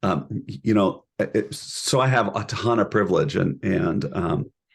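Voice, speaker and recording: This man's voice is fairly low and carries vocal fry. His pitch swings very widely. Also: fairly slow pace. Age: middle-aged. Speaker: professor, couple and family therapy program director. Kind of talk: interview conversation. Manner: halting, many repeated words.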